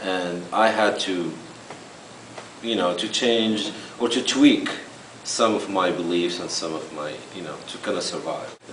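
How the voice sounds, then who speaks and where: A man with a non-native accent speaks at a moderate pace with ordinary pitch variation. There is audible room echo and noticeable background noise. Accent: foreign. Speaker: immigrant interviewee. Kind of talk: interview.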